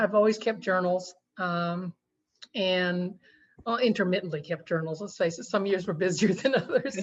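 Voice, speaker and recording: In an American accent, a somewhat breathy voice speaks with ordinary pitch variation. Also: woman, medium pitch for a woman. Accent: slight Oklahoma-Texas drawl. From Texas, Army brat. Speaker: romance author. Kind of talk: interview. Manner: halting, many fillers.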